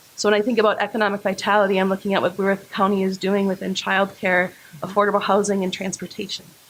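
A woman speaks at a very fast pace and medium pitch in a monotone, flat intonation. Noticeable background noise is present. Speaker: political candidate. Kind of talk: candidate forum speech. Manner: loud.

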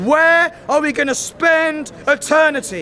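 There is light background noise as a man speaks. His pitch varies in an ordinary way. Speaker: street evangelist. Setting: outdoors on a busy city street. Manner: emphatic and repetitive, saying each prayer phrase twice so the crowd can echo it; fervent, rising, call-and-response cadence. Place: street.

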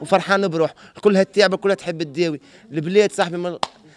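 The man's voice is high in pitch with ordinary pitch variation, recorded as dry sound with no echo. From Tunisia. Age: young. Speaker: former drug user; interviewee. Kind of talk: street interview. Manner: animated. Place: street. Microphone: handheld.

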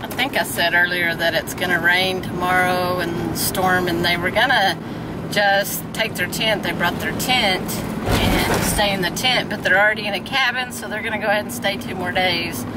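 A woman talks over loud background noise. The sound is dry, with no echo. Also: ordinary pitch variation, moderate pace. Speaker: park host. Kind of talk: casual vlog chat. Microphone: phone near.

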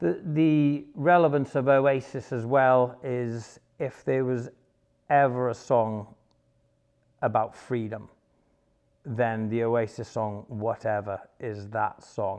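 Over a quiet background, a man with a Welsh accent speaks at a very slow pace, with long, frequent pauses and ordinary pitch variation. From Wales, Pembrokeshire; Wales. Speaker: former soldier and bodyguard; interviewee. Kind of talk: personal testimony monologue; interview answer. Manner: halting, many fillers. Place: home room. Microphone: lapel.

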